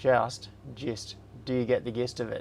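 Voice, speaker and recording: He speaks with an Australian accent. His pitch is medium for a man. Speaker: livestream host, maker. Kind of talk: casual live stream chat. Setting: live stream.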